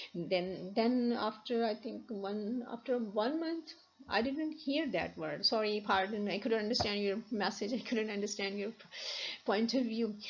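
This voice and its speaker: Against noticeable background noise and audible room echo, a woman with a Pakistani accent speaks at a fairly slow pace with a fairly high pitch and ordinary pitch variation. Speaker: university lecturer. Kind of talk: lecture. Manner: halting, many restarts.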